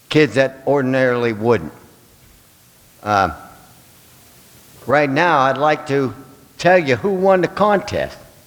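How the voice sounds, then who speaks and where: Speaking at a fairly slow pace, a man with a medium-pitched voice makes very wide pitch swings, with noticeable background noise behind him. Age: 70s. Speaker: toy drive volunteer. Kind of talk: speech at public meeting. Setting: school board meeting.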